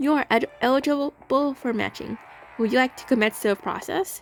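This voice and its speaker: This put-on character voice sounds robotic and moves at a moderate pace. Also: woman, high pitch for a woman. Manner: monotonous.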